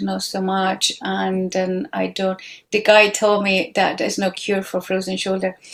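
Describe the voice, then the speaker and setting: This speaker talks at a fairly slow pace with a non-native accent. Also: woman. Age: 50s. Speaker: guest on a women's podcast. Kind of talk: casual chat. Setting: video call.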